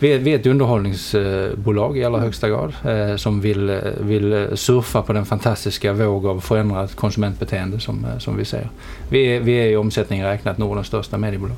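A man's fairly low-pitched voice at a moderate pace, hardly any pauses and ordinary pitch variation, against noticeable background noise. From southern Sweden (Helsingborg, Skåne). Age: 40s. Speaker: media company chief executive. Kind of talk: interview. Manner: halting, many fillers and repetitions.

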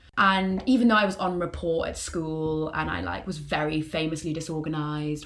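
Speaking at a moderate pace with hardly any pauses, the voice shows ordinary pitch variation over noticeable background noise. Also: woman, very deep, low pitch for a woman. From northern England, Newcastle. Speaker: university student. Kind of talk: casual chat.

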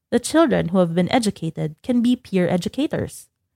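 Recorded very cleanly with a silent background and a dry, close sound with no echo, a woman speaks at a moderate pace with a dark, mellow tone and lively intonation. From Central Java, Indonesia. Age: 20s. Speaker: NGO program assistant. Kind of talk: interview narrative.

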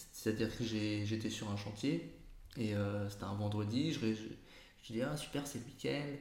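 Noticeable background noise plus audible echo from the room. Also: man. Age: 30s. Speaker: entrepreneur. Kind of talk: interview. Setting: in his agency's office.

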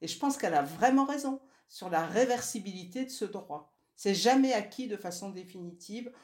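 A woman's plain, everyday voice at medium pitch, with big swings in loudness. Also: lively intonation, moderate pace. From northern France (Nord, Lille). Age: 60s. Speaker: feminist activist, former family planning association co-president. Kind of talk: interview.

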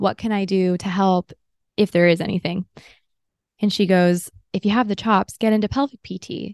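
With an American accent and medium pitch, a woman speaks at a moderate pace with fairly even intonation and long, frequent pauses, in a dry, close sound with no echo. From Southern California, Los Angeles. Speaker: pelvic physical therapist and podcast host. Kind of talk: solo podcast monologue, personal storytelling.

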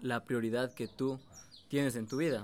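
A man speaks at a medium pitch and a fairly slow pace. His intonation is fairly even, with an unremarkable speaking voice. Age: 20s. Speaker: young trader and online entrepreneur. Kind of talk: casual interview.

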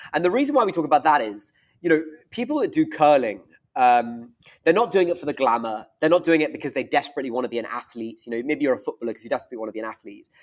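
Speaking at a very fast pace, this man has a fairly high pitch. His intonation is lively. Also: big swings in loudness. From Scotland. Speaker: venture capital fund founder. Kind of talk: casual interview. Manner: hesitant, filler words.

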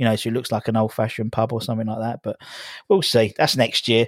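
In a very clean recording with a silent background, a man at medium pitch sounds dry and close, with no echo. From Essex, England. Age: 30s. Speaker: YouTube channel host, football fan. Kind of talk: casual chat.

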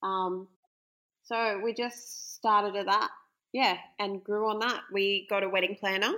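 Speaking at a fairly slow pace, a woman with an Australian accent uses a medium pitch and a bright, sharp tone. Her intonation is monotone and flat, broken by long, frequent pauses. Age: 30s. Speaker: bride interviewed about her wedding. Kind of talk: casual interview.

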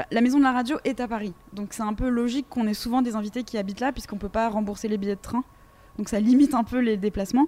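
Speaking very fast, a woman uses a fairly high pitch and fairly even intonation. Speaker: radio host. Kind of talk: interview.

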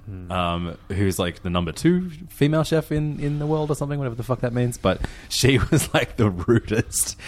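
The speaker is a man with an Australian accent. He talks at a moderate pace with very wide pitch swings. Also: medium pitch for a man. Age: 30s. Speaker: food podcast host and DJ. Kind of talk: casual chat.

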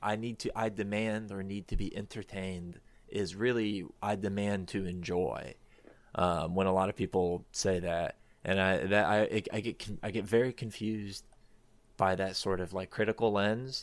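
A man's plain, everyday voice, fairly low in pitch, with an American accent, fairly even intonation and a fairly slow pace, in a very clean recording with a silent background. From Florida. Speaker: researcher and podcaster. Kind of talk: casual chat.

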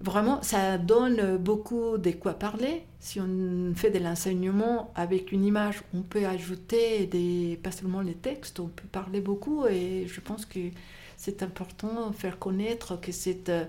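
A woman with a non-native accent speaks at a very slow pace in a dark, mellow, medium-pitched voice with fairly even intonation. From Mexico. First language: not French (speaking French). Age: 60s. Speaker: bookshop owner. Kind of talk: casual interview. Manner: halting.

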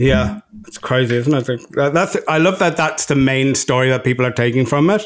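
A man with an Irish accent at a medium pitch and moderate pace, with ordinary pitch variation, very even loudness and noticeable background noise. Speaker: podcast co-host. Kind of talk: casual chat. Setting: remote recording.

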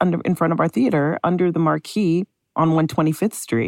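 A woman with an American accent speaks in an ordinary speaking voice at a fairly low pitch and moderate pace, with ordinary pitch variation. The sound is dry and close, with no echo. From Chicago, Illinois. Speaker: theater executive producer. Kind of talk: interview.

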